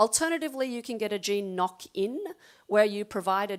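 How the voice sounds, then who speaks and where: A woman at a medium pitch with an Australian accent and lively intonation, on a very clean recording with a silent background. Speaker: animal geneticist. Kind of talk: lecture.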